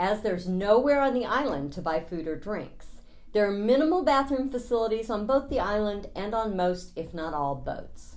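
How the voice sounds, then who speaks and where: Her pitch is fairly high and swings very widely as this woman speaks. She keeps a moderate pace, with audible room echo around her. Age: 60s. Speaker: travel vlogger. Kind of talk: scripted narration.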